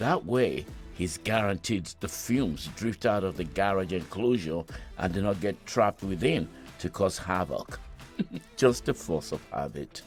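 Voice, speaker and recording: A man with a Nigerian accent, very deep, low pitch and lively intonation at a fairly slow pace, music in the background. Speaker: voice actor. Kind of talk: podcast story narration.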